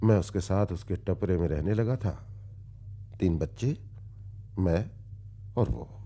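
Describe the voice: Putting on a character voice, a man speaks slowly with a low pitch, a dark, mellow tone and lively intonation.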